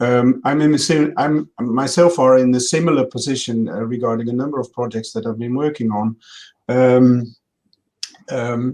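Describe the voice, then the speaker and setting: In a Dutch accent, a man talks at a fairly slow pace with fairly even intonation. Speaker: health data researcher. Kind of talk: Q&A session. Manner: halting, many fillers.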